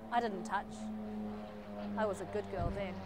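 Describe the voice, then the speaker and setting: A woman speaks at a moderate pace over loud background noise, the sound dry with no echo. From New Zealand. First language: Chinese. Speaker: poet. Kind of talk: poetry performance; spoken word poetry performance. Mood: wry, expressive. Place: street. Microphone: lapel.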